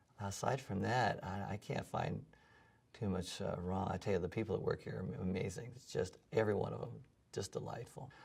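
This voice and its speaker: A man with an American accent, fairly low in pitch, with vocal fry, ordinary pitch variation and a fairly quick pace. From US West Coast, San Diego. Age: 60s. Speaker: music professor and gym client. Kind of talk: testimonial interview. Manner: hesitant, many fillers and repeats.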